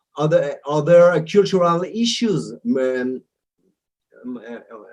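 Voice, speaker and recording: Speaking very slowly, a man with an Israeli accent leaves long, frequent pauses. His intonation is lively. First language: Hebrew. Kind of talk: interview. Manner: halting, many repetitions and fillers.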